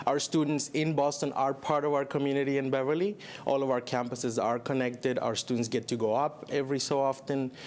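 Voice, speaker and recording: A man with a Spanish accent and a fairly high pitch speaks at a fairly quick pace with hardly any pauses, very even loudness and fairly even intonation. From Chile. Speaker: college program director. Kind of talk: TV interview.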